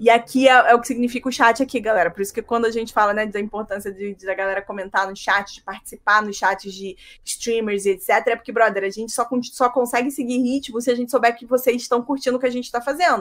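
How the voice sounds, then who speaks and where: A woman talks at a very fast pace with a fairly high pitch. Her loudness swings widely. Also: fairly even intonation. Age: 30s. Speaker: writer. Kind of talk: casual chat.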